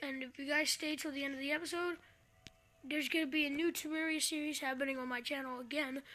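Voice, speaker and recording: Using a raised, projected voice, a woman speaks at a very fast pace. Her intonation stays monotone and flat. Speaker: gaming youtuber. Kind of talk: let's play commentary. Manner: hesitant, filler words.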